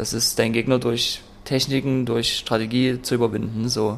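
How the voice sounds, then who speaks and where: The speaker is a man with medium pitch. His intonation stays fairly even. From Saxony, eastern Germany (Freiberg). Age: 20s. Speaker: mixed martial arts athlete. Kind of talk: interview. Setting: in a martial arts gym.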